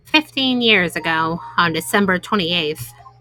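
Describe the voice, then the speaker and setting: Using a put-on character voice, a woman with a fairly low pitch speaks at a moderate pace with lively intonation. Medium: game stream. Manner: reserved, formal.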